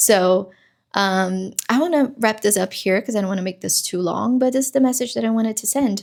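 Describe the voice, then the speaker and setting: In a very clean recording with a silent background, a woman with a fairly high pitch talks at a fairly quick pace with ordinary pitch variation. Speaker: self-help vlogger. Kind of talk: casual motivational monologue. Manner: halting, with fillers.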